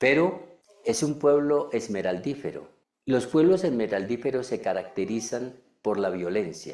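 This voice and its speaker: Audible room echo surrounds a man whose medium-pitched voice makes very wide pitch swings at a fairly slow pace. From Colombia, Cundinamarca. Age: 70s. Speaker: preacher. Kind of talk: sermon.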